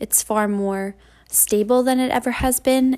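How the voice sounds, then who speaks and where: A woman's fairly slow, monotone, flat delivery in a very clean recording with a silent background. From Vermont, New England. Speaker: podcast host and intern. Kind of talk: scripted monologue. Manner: frequent fillers (um, you know).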